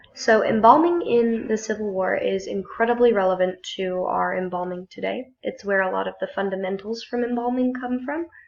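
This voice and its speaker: A woman speaks at a moderate pace with hardly any pauses. There is noticeable background noise. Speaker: student. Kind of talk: class presentation.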